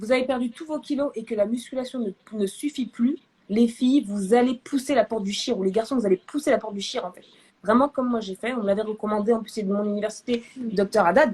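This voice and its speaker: A woman talks fairly quickly in an animated, somewhat breathy voice that is fairly high in pitch. Her pitch varies in an ordinary way, while her loudness swings widely. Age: 20s. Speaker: therapist and medical student hosting a live. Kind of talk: live video chat. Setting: live stream.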